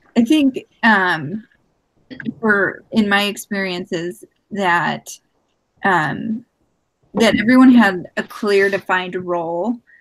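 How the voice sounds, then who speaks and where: A woman speaks at medium pitch with ordinary pitch variation. Her pace is very slow, broken by long, frequent pauses. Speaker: student. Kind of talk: casual chat. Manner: loud.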